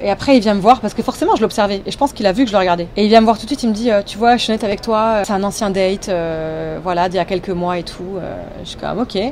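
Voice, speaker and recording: A woman's medium-pitched voice at a very fast pace, hardly any pauses, big swings in loudness, ordinary pitch variation, and noticeable background noise. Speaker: YouTuber. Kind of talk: casual storytime talk to camera. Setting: recorded on phone microphone.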